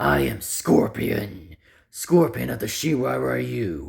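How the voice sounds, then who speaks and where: In a raspy, menacing put-on character voice, a man speaks at a very slow pace with a very deep, low pitch. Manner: gravelly, menacing.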